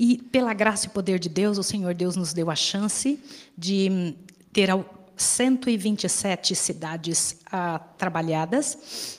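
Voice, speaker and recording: Very slow, medium-pitched speech from a woman, its pitch varying in an ordinary way. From Brazil. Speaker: volunteer missionary. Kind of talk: sermon.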